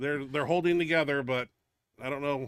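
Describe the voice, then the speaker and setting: Loud and very fast, a man with a bright, sharp tone speaks in a dry, close sound with no echo on a very clean recording with a silent background. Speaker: powerlifter and show host. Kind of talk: casual chat. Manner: animated.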